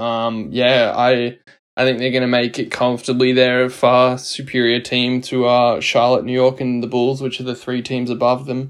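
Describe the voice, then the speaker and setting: A man with an Australian accent talks at a medium pitch in a monotone, flat intonation. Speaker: podcast co-host. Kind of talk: casual chat.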